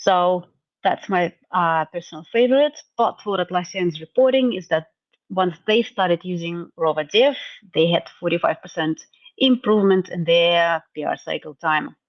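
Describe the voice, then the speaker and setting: Speaking at a moderate pace, a woman with a fairly low pitch uses lively intonation. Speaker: tech community event presenter. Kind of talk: presentation recap.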